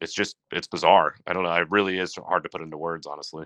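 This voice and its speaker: A man's very deep, low voice has vocal fry and a bright, sharp tone. His pitch varies in an ordinary way, and the sound is dry and close with no echo. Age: 30s. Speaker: brewer. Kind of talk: casual chat.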